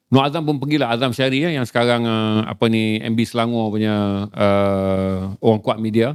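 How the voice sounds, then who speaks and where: A man with an unremarkable speaking voice talks at a medium pitch with fairly even intonation. The recording is very clean, its background silent. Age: 50s. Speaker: author and publisher. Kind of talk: casual chat.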